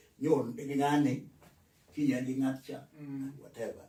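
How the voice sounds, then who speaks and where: Somewhat breathy, a man's dark, mellow voice sits at a fairly high pitch. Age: 80s+. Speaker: retired civil servant, author. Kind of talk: interview answer.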